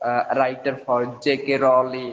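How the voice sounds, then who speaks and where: A man with a Marathi accent. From India, Maharashtra. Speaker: school chemistry teacher, English learner. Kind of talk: casual conversation practice. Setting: online call. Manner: halting, many fillers.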